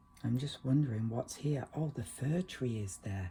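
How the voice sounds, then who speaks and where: This man has a medium pitch, ordinary pitch variation and a somewhat breathy, relaxed tone. He talks at a moderate pace. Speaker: watercolor painting teacher. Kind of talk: tutorial. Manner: relaxed, conversational.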